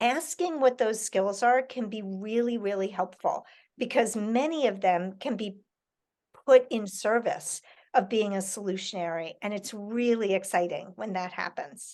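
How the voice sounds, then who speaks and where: A woman talks at a fairly slow pace with ordinary pitch variation against a quiet background. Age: 60s. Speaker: author and educator. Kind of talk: Q&A with school children over video call.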